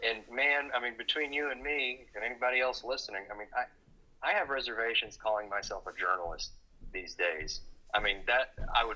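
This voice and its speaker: A man talks at a fairly quick pace with a Texan accent. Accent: Texan accent, noticeable. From Texas, Dallas. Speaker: journalist. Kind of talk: casual chat.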